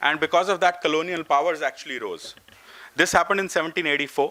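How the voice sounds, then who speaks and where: The tone is bright and sharp. The recording is very clean, with a silent background. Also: man. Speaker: professor at an education summit. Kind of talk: conference talk. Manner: fast.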